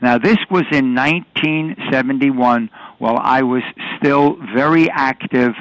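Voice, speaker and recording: Recorded with a dry, close sound and no echo, a man with a New York accent speaks at a very slow pace, his medium pitch showing ordinary variation. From New York City. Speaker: retired police detective and film technical advisor. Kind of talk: interview. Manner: halting, with frequent fillers.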